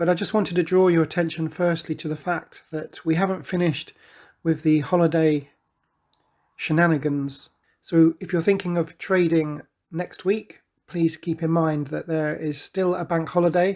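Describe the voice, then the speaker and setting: A man with a British accent speaks at a high pitch in a flat monotone. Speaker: forex trading commentator. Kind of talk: market analysis tutorial.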